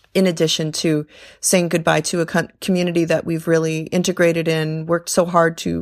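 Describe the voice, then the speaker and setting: A woman speaks in a fairly low voice with a flat, monotone delivery. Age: 30s. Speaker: Peace Corps volunteer, teacher trainer. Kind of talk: recorded voice memo testimony.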